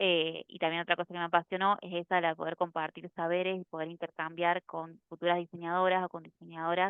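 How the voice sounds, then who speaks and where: A woman with an unremarkable speaking voice, pitched fairly low. She talks at a moderate pace. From Argentina, Córdoba city. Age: 30s. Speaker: UX design instructor and photographer. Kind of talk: casual workshop chat. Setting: video call.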